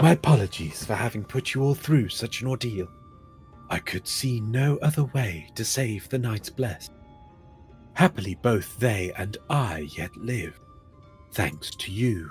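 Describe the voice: Over music in the background, a man puts on a gruff, hoarse character voice at medium pitch and a moderate pace.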